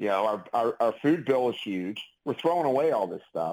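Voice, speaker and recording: Over a silent background in a very clean recording, a man speaks at a fairly quick pace with very wide pitch swings. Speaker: clinical pharmacist and author. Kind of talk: casual interview chat. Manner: conversational, chatty, animated.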